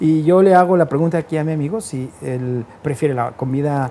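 A man with a Guadalajara accent, moderate pace. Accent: Mexican Spanish (Guadalajara). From Guadalajara, Jalisco, Mexico. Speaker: radio host and DJ. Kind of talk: casual interview. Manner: animated.

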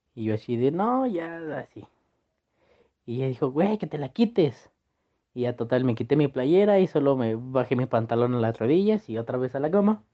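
The man has an unremarkable speaking voice at medium pitch. He talks at a moderate pace with lively intonation. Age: young. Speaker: university student telling a personal story. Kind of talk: personal anecdote.

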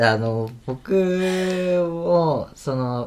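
A man with lively intonation. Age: 20s. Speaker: university student and podcaster. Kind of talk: casual chat.

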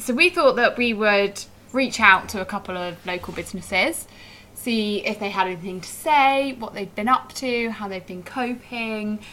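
The speech has lively intonation. Noticeable background noise can be heard. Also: woman. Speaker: podcast host. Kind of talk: casual chat over wine.

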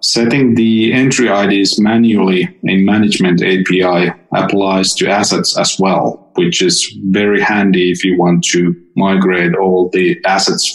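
Noticeable background noise sits behind a man with a very deep, low voice. He keeps his loudness very even and speaks at a fairly slow pace. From Finland. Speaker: software developer. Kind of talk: technical interview.

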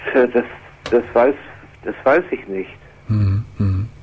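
This man's pitch is mid-range with normal rises and falls, and he speaks very slowly. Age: 70s. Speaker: retired caller caring for sick wife. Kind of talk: phone-in conversation. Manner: halting.

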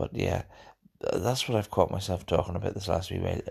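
A man mumbles in a somewhat breathy voice with a Northern Irish accent. The background is quiet. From Northern Ireland. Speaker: podcast host. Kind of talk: casual solo monologue. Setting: home recording. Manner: mumbly, rambling, hesitant.

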